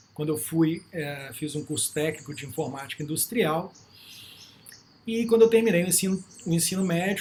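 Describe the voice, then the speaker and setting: At a fairly quick pace, a man talks at a high pitch in a Minas Gerais accent. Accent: Minas Gerais Brazilian Portuguese. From Brazil, Minas Gerais. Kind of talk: lecture. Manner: casual, with frequent fillers.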